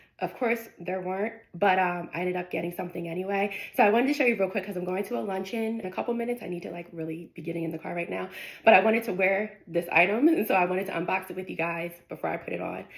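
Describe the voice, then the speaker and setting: Over noticeable background noise, a woman talks very fast at a medium pitch with ordinary pitch variation. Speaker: lifestyle vlogger. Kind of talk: casual unboxing vlog.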